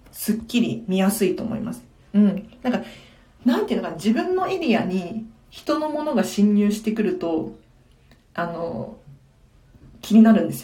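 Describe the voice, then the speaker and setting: A woman speaks at a fairly high pitch with very wide pitch swings and big shifts in loudness, leaving long, frequent pauses. The room echoes audibly. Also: moderate pace. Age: 20s. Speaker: tidying consultant, live-stream host. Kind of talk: live-stream Q&A, casual chat.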